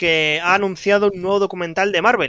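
With a high pitch and a bright, sharp tone, a man speaks with ordinary pitch variation in a dry, close sound with no echo. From Spain, Barcelona. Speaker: podcast co-host. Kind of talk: casual chat.

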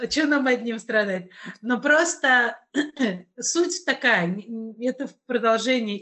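Very slow speech from a woman with lively intonation. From Russia, Kazan. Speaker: podcast host. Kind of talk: casual chat.

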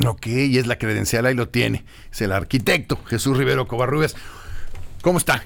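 A man's medium-pitched voice with vocal fry, a fairly quick pace broken by long, frequent pauses, ordinary pitch variation, and a very clean recording with a silent background. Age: 50s. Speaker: radio host. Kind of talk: radio interview. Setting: studio.

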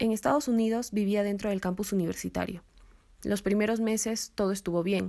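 In a very clean recording with a silent background, a woman speaks in a dark, mellow tone with fairly even intonation. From Peru, Cusco. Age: 20s. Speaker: university student. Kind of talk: testimony narration.

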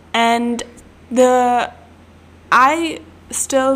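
A woman with a German accent speaks in an animated tone over noticeable background noise. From German-speaking country. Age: 20s. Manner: animated, laughs often.

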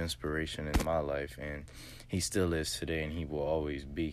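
Intonation stays monotone and flat at a moderate pace, with audible room echo. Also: man. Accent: American. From US South, southwest Louisiana. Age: 20s. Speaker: podcaster. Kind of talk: motivational monologue. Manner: hesitant, many fillers.

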